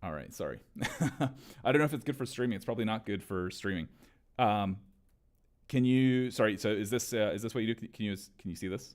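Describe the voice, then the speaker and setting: Talking at a very fast pace yet with long, frequent pauses, a man of medium pitch shows ordinary pitch variation. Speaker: startup founder live-streaming his coding work. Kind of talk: live-stream chat while coding. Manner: halting, many repeated words and fillers.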